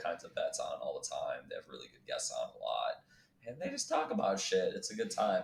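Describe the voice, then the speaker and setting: A man talks with a New York accent. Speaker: Marine veteran, former podcast co-host. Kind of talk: casual chat. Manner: loud, talks over others.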